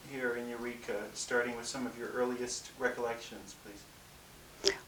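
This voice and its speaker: At a fairly slow pace, a man speaks at medium pitch over noticeable background noise. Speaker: interviewer.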